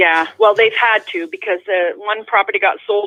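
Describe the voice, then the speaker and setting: A plain, everyday voice at a fairly quick pace, with fairly even intonation. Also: woman. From Canada, immigrated from Netherlands as child. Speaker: caller. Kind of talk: casual chat. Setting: phone call.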